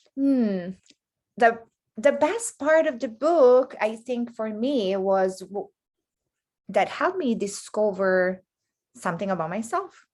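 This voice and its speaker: Delivered at a very slow pace with long, frequent pauses, the speech has lively intonation and an Italian accent. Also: woman, fairly high pitch for a woman. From Italy. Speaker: healing coach. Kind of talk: podcast interview.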